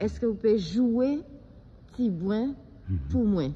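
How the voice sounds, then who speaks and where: Her tone dark and mellow, a woman speaks in a medium pitch at a moderate pace, sounding somewhat breathy. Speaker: interviewer. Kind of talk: interview questions.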